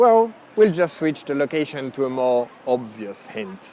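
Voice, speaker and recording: With a French accent, a man speaks in a dark, mellow tone, his pitch swinging very widely. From France. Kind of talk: casual talk to camera.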